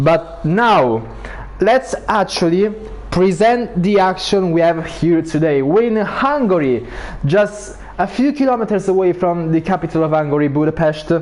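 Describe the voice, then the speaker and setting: Over noticeable background noise, the voice moves at a fairly slow pace with lively intonation and very even loudness. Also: man, high pitch for a man. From Italy. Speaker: sim racing league commentator. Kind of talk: live commentary.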